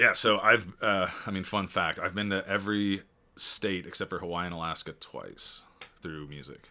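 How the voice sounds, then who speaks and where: A man with an American accent, fairly low pitch and a bright, sharp tone, at a moderate pace with fairly even intonation and big swings in loudness. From Chicago. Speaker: entrepreneur. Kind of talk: casual chat.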